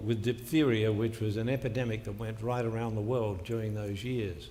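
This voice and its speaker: The voice has an Australian accent. Room echo can be heard. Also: man. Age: 80s+. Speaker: motivational speaker. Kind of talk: motivational speech.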